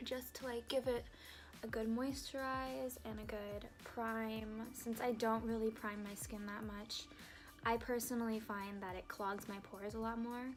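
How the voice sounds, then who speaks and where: Music in the background and audible room echo surround a woman with a fairly high pitch who speaks at a fairly slow pace with fairly even intonation. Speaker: beauty vlogger. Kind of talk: makeup tutorial. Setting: dorm room. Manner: casual, filler-heavy; quiet at times.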